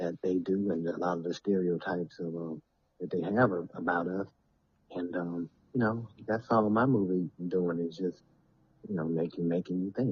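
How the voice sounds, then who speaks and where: A man with a Southern US accent speaks at a moderate pace in a very deep, low voice with fairly even intonation. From US South, Alabama. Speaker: filmmaker and former football player. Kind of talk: casual interview chat. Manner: halting.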